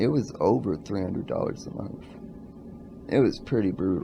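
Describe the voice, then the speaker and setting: The speaker is a man. His voice is pitched fairly low. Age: 20s. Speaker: vlogger. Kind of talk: casual vlog monologue. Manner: slow.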